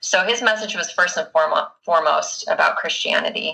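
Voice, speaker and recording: A woman speaks at a moderate pace with a Utah accent. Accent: Utah American English. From Utah (Bountiful). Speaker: book podcast guest. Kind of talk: casual chat.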